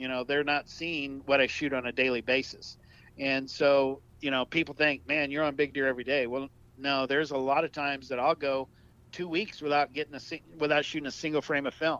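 A man talks fast-ish, at a fairly quick pace, with a fairly high pitch. His tone is bright and sharp, his intonation monotone and flat. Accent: Texan. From South Texas. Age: 50s. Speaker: wildlife photographer. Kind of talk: casual interview.

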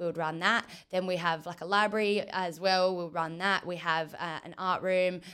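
Speaking with an Australian accent, a woman uses a bright, sharp tone at a fairly low pitch, with monotone, flat intonation and a moderate pace. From Western Australia, Margaret River. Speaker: football player, team captain. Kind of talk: interview.

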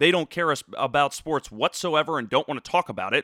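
With an American accent, a man talks fairly quickly at a fairly high pitch in a bright, sharp tone, the sound dry and close with no echo. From South Jersey, Philadelphia area. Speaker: sports podcast host. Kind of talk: casual solo monologue. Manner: halting, many fillers.

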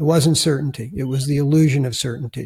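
A man's somewhat breathy speech, its pitch varying in an ordinary way. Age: 60s. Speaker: author and former therapist. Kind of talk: interview conversation.

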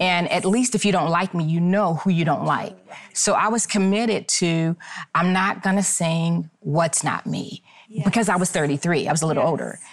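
Over noticeable background noise, a woman speaks at a moderate pace in a fairly low pitch, with ordinary pitch variation and very even loudness. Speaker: singer. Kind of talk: panel conversation.

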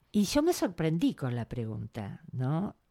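A woman in a Rioplatense accent, very deep and low in pitch, at a very slow pace, on a very clean recording with a silent background. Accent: Argentine Rioplatense Spanish. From Argentina, Buenos Aires. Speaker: writer, therapist and storyteller. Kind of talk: interview.

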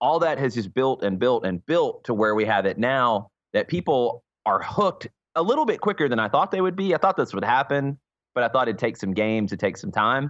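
With an American accent, a man of medium pitch talks at a fairly quick pace, his pitch swinging very widely, the sound dry and close with no echo and the background quiet. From US South, Atlanta, Georgia. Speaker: soccer radio color commentator. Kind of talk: casual interview chat.

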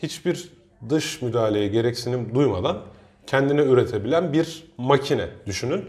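At a moderate pace, a man speaks with a medium pitch, a somewhat breathy quality, and ordinary pitch variation. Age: 30s. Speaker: teacher and podcast co-host. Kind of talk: casual chat.

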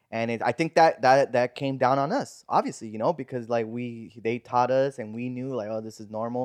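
With an American accent, a man speaks in an ordinary speaking voice at a medium pitch and a fairly quick pace, hardly pausing, his intonation fairly even but his loudness swinging widely, in a dry, close recording with no echo and a quiet background. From Burbank, California. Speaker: podcast host. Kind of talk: casual chat.

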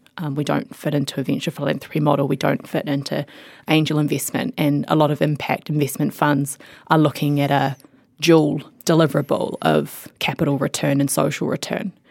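Her New Zealand accent comes through as this woman talks at a fairly quick pace with a very deep, low pitch, vocal fry and fairly even intonation. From New Zealand, rural Mid-Canterbury. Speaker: tech company CEO, former lawyer. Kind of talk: interview.

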